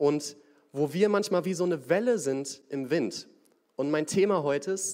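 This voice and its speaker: A man with a plain, everyday voice speaks at a fairly slow pace with lively intonation. The recording is very clean, with a silent background. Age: young. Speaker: young lay preacher. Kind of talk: sermon.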